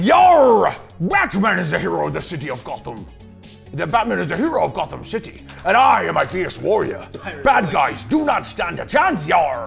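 Over clear music in the background, a man performs a put-on character voice at a moderate pace. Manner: pirate-like, deliberately not very good.

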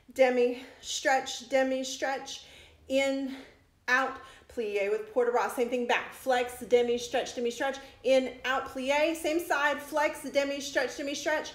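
A very slow pace, fairly even intonation, and audible room echo. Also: woman. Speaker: dance fitness instructor. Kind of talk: exercise class instruction. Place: home room. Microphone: phone near.

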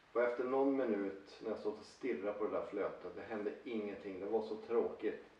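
A man speaks at a fairly quick pace with hardly any pauses. Audible room echo surrounds his voice. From northern Sweden, Luleå (Norrbotten); Sweden. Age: 40s. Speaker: angler and fishing vlogger; fishing vlogger. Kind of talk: personal talk to camera. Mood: enthusiastic, persuasive. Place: home room. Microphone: camera far.

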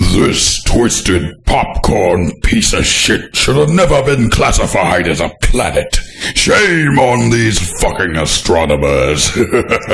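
In a put-on character voice, a man speaks with a raspy sound at medium pitch. His pace is fairly slow. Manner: commanding, manic, ranting.

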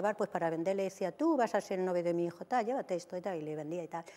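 The voice has a dark, mellow tone and moves at a very fast pace. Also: woman. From Albacete, Spain; Spain. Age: 60s. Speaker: TV dating show guest; TV guest. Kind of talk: TV interview, personal life story. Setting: TV studio. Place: studio. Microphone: lapel.

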